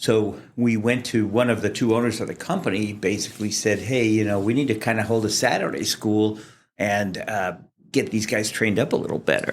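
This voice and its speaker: With an American accent, a man speaks in a normal speaking voice at a fairly quick pace and a fairly low pitch. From US Midwest, Kansas City. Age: 60s. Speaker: fire sprinkler industry association president. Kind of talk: interview. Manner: casual with fillers.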